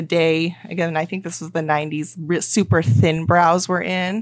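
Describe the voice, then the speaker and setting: She has a normal speaking voice at a fairly low pitch. This woman talks at a moderate pace. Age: 30s. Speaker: podcast guest. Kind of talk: casual chat.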